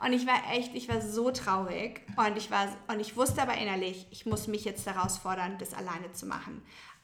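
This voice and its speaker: A woman's voice with ordinary pitch variation comes through audible room echo and noticeable background noise. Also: medium pitch for a woman, moderate pace. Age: 30s. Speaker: blogger and marketing worker. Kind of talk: casual chat.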